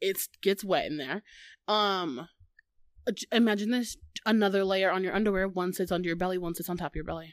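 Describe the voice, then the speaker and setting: Speaking fairly quickly in an animated tone, a woman with a Midwestern US accent uses a medium pitch and ordinary pitch variation, leaving long, frequent pauses. The recording is very clean, with a silent background. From US Midwest. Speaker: podcast host. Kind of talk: casual chat, comedic banter. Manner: animated, jokey.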